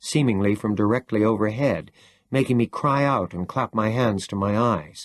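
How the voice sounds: The speaker uses a natural reading voice with ordinary pitch variation.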